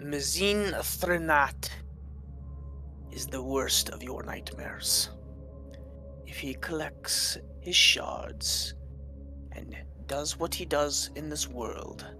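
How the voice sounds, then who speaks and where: A man in a put-on character voice at a very slow pace, over clear background music. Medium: actual play. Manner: cold, measured, aloof.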